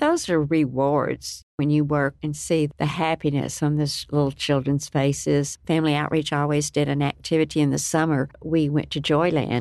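With hardly any pauses, a woman speaks in a very deep, low pitch, monotone and flat, at very even loudness over a quiet background. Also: moderate pace. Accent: West Texas. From Lubbock, Texas. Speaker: nonprofit director. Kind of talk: radio interview.

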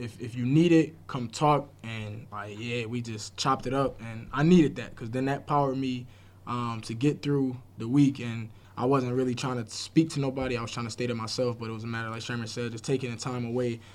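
Using a plain, everyday voice, a man speaks at a fairly quick pace and medium pitch, with fairly even intonation but big swings in loudness. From Buffalo, New York. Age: 20s. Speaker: youth sports program manager. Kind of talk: casual chat.

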